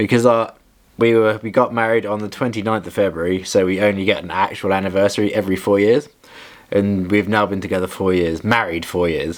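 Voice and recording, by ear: Speaking at a fairly quick pace, a man with a fairly low pitch shows little pitch movement.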